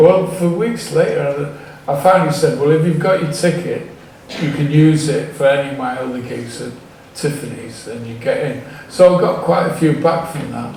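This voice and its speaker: Big swings in loudness at a moderate pace, ordinary pitch variation, audible room echo, and noticeable background noise. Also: man, fairly high pitch for a man. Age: 70s. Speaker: music promoter. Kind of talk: audience Q&A. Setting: stage with audience. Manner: halting.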